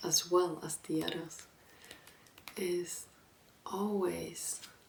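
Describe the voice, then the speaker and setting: A soft-spoken woman, fairly low in pitch, with noticeable background noise. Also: long, frequent pauses. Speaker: ASMR content creator. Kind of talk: book talk with advice, reflective talk to camera. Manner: soft-spoken, calming.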